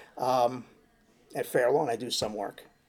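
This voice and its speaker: A man speaks at a medium pitch with a New York accent. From New York City (Queens). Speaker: handyman. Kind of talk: casual interview. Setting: venue interview.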